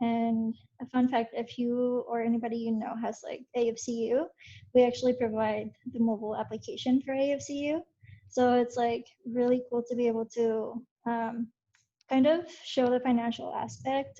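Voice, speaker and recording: A woman speaks with a Spanish accent, her fairly high voice keeping a fairly even intonation. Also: moderate pace. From Mexico, raised in Utah from age nine. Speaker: software engineer, alumni panelist. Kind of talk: panel introduction, casual.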